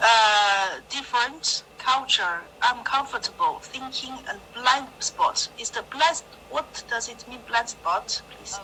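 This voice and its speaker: A woman's high-pitched voice at a very slow pace, lively in intonation, with big swings in loudness and noticeable background noise. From China. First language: Chinese. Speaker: adult English student. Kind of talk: online English lesson. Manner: halting.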